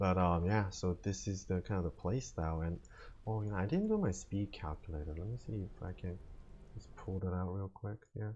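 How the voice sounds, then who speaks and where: Over a quiet background, a man with a very deep, low pitch talks fairly quickly in a dark, mellow, somewhat breathy tone with fairly even intonation. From Korea. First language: not English (English is third language). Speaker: video game streamer. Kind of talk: gameplay commentary. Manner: casual, filler-heavy.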